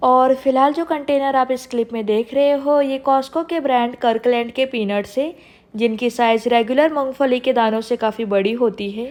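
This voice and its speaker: This woman talks at a moderate pace with hardly any pauses, her high voice keeping a fairly even intonation. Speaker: vlogger. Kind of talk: narrated vlog voiceover.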